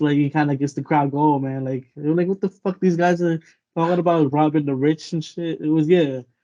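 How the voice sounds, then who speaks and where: A man's fairly high pitch in a dark, mellow tone with fairly even intonation. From Vancouver, Canada (Filipino background). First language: Tagalog. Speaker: rapper and graphic artist. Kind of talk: casual interview chat.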